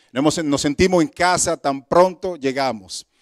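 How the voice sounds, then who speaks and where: Recorded very cleanly against a silent background, with a dry, close sound and no echo, a man talks at a moderate pace with ordinary pitch variation. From Dominican Republic. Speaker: guest preacher. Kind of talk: sermon. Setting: church service.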